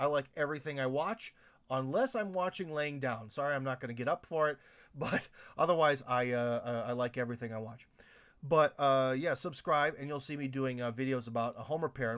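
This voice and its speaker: Speaking at a fairly quick pace, a man uses a fairly high pitch with ordinary variation. The recording is very clean and the background silent. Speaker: video maker, home repair channel. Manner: fast talker.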